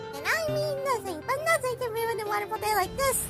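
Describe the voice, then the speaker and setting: A woman puts on a squeaky character voice at an extremely high pitch, talking fairly quickly in an upbeat tone over clear music in the background. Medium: audio drama.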